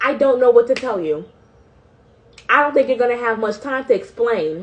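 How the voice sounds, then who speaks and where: A woman's high-pitched voice at a moderate pace. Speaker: online bible devotional host. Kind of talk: live-streamed bible devotional. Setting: instagram live stream. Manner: emphatic, preachy.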